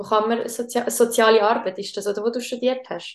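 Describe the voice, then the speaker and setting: Monotone, flat intonation at a moderate pace. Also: woman. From Switzerland. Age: 20s. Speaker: podcast host. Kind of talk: casual chat.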